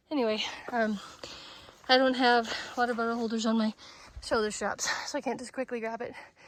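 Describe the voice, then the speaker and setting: A woman's fairly high, flat, monotone voice at a fairly quick clip, broken by long, frequent pauses, over noticeable background noise. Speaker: hiking vlogger. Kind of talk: outdoor vlog narration. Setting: outdoors on a hiking trail. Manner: breathy, winded from climbing.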